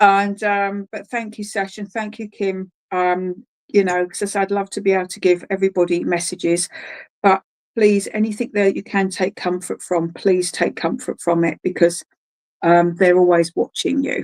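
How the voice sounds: A woman speaks with a slightly mellow tone. Her pitch moves very little. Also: medium pitch for a woman, moderate pace, dry, close sound with no echo.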